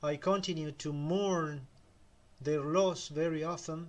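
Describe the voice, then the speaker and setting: A man talks in a Spanish accent. His pitch is high. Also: quiet background. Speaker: self-help video creator. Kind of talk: motivational talk.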